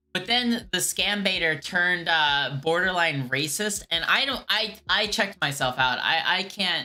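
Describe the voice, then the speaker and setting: Music plays in the background. The speaker has an American accent. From USA. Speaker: streamer who calls scammers. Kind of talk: live stream chat, reading chat. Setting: live stream. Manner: casual, hesitant with many fillers.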